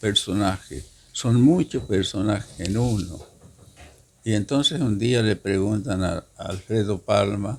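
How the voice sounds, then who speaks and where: The speech moves at a very slow pace. The voice is somewhat breathy. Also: man. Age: 80s+. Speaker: poet. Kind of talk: interview.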